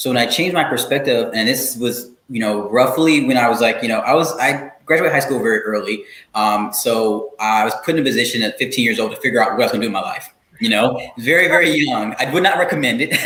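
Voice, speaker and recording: At a very fast pace, a man talks at medium pitch with ordinary pitch variation, and audible room echo surrounds his voice. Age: young. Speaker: expert guest on workplace intersectionality. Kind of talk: interview conversation.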